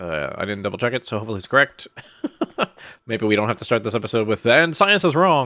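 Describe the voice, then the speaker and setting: Talking very fast, a man with a medium pitch uses lively intonation and a bright, sharp tone. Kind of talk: casual gameplay commentary.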